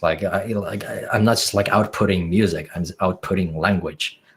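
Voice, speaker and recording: This man has a fairly low pitch. He speaks with a Finnish accent. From Finland. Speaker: music producer. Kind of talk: podcast interview. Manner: halting.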